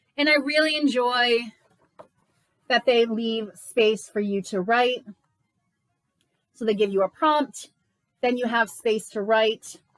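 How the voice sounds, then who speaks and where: The speaker is loud and moves at a very slow pace, with long, frequent pauses. Pitch varies in an ordinary way. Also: woman, fairly high pitch for a woman. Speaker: book reviewer and channel host. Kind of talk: casual book review vlog. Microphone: no microphone, built-in recording.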